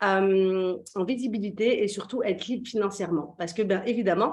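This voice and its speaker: This woman has a plain, everyday voice. Her pitch is medium and her pace moderate. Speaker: business coach. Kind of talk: interview host.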